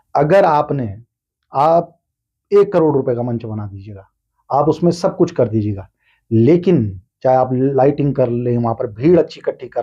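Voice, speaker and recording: Over a quiet background, this voice has a dark, mellow tone and is somewhat breathy. Its intonation is lively, and its loudness swings widely. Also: man. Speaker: voice-over artist and stage anchor. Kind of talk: podcast interview answer.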